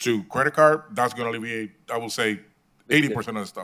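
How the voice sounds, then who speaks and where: A man's very fast speech in a Puerto Rican accent, with a bright, sharp tone, medium pitch and ordinary pitch variation. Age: 50s. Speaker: hotel property manager. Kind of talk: public meeting testimony.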